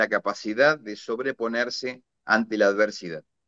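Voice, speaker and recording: A man with an Argentine accent speaks with lively intonation and a bright, sharp tone, recorded in a dry, close sound with no echo. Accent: Argentine Spanish (rioplatense voseo). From Argentina, rural interior. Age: 60s. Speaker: retired naval officer and war veteran. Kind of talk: interview conversation. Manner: hesitant with fillers.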